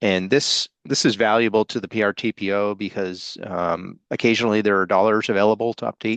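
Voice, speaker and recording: This man has an unremarkable speaking voice, fairly low in pitch, with fairly even intonation. The sound is dry and close with no echo, and the background is quiet. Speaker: regional transportation planning coordinator. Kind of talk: business meeting update.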